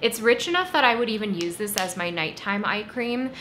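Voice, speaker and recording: A woman speaks at a fairly high pitch and a fairly quick pace, with ordinary pitch variation. Room echo is audible. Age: 30s. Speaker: beauty YouTuber. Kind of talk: product review monologue. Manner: conversational.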